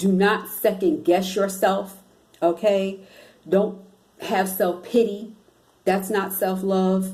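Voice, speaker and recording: A woman at medium pitch with a monotone, flat intonation, a very slow pace, long and frequent pauses, very even loudness, and audible room echo. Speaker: spiritual self-help vlogger. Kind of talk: motivational vlog talk.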